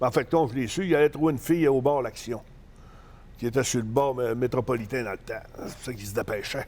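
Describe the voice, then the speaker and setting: Speaking at a very fast pace in a Saguenay–Lac-Saint-Jean accent, a man with a medium pitch shows ordinary pitch variation and big swings in loudness. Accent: Saguenay-Lac-Saint-Jean Quebec French. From Quebec, Saguenay (Jonquière). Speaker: professional wrestler. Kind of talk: casual interview, storytelling. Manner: hesitant, many fillers.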